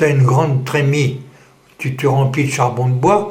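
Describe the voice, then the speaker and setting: A man's voice at medium speed, carrying room echo and plainly audible background noise. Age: 80s+. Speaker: war veteran. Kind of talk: testimony. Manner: halting.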